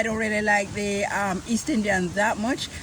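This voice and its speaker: Amid noticeable background noise and audible room echo, a woman talks at a fairly quick pace with a fairly high pitch. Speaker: culinary tour host. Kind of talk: casual chat. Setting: outdoors in back garden.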